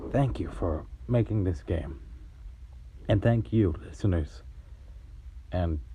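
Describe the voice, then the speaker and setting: Very slow and shaky, a man speaks with a very deep, low pitch. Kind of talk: gameplay commentary with religious reflection.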